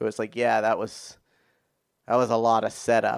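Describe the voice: A man's voice comes out fairly low, clear and smooth, with vocal fry. He speaks in a monotone, flat intonation. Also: moderate pace.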